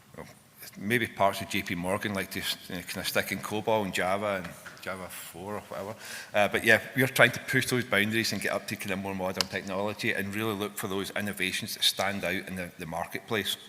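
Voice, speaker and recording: In a Scottish accent, a man talks at a very fast pace. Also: fairly low pitch for a man. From Scotland. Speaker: fintech software engineer and conference speaker. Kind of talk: conference talk. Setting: stage with audience. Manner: animated.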